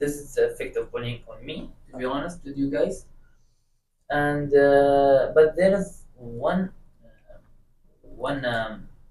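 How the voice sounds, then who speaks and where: A man talks at a very slow pace, with long, frequent pauses and big swings in loudness. His fairly high, somewhat breathy voice has a dark, mellow tone and ordinary pitch variation. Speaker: guest sharing personal experience. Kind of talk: casual chat. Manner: stutter; halting.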